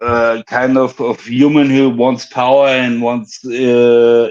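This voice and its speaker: A man's very slow speech in a German accent. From Germany. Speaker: caller. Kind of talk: call-in chat. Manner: halting, many fillers.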